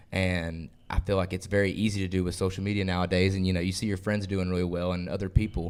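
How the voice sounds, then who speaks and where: In a Southern US accent, a man talks at a very fast pace. His very deep, low pitch stays monotone and flat. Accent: Southern US (Georgia). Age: 20s. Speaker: country singer. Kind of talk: interview.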